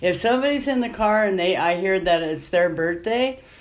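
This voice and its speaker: A woman's ordinary pitch variation comes at a moderate pace in a normal speaking voice. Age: 50s. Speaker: rideshare driver and former nun. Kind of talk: interview. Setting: at home.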